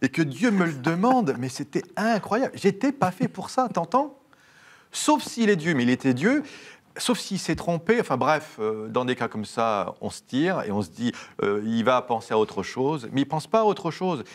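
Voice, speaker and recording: Very wide pitch swings run through this man's fairly high voice. His pace is moderate. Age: 40s. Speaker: priest. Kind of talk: interview. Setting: studio. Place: studio. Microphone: lapel.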